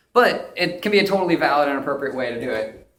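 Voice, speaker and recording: Speaking very fast, a man lets his pitch vary in an ordinary way. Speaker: UX designer giving a conference talk. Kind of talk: conference presentation; direct-to-camera video message. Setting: stage with audience.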